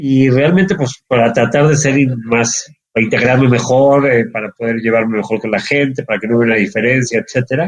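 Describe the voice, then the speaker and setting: A man at medium pitch talks at a fairly quick pace with hardly any pauses and ordinary pitch variation. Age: 50s. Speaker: entrepreneur, actuary. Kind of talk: interview.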